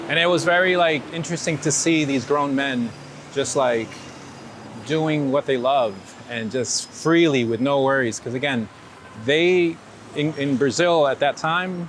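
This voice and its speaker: Fairly high-pitched man in a New York accent, fairly slow, with long, frequent pauses, ordinary pitch variation and noticeable background noise. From New York (born in Ecuador). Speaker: street photographer. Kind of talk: casual interview storytelling. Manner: animated, hesitant with repeated words.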